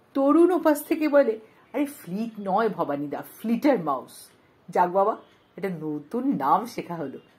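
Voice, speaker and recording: Animated and playful in tone, a woman's fairly high voice swings very widely in pitch and slips into vocal fry. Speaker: audiobook narrator. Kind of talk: literary audiobook reading, first-person comic storytelling. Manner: animated, playful, wry, with dramatic emphasis and voice changes for dialogue; expressive, theatrical, mock-indignant.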